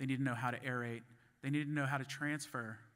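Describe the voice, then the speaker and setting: A man speaks very fast at a medium pitch in a bright, sharp tone with ordinary pitch variation, on a very clean recording with a silent background. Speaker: conference speaker on grain fumigation. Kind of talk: conference presentation. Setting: stage at a conference. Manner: halting, with restarts and fillers.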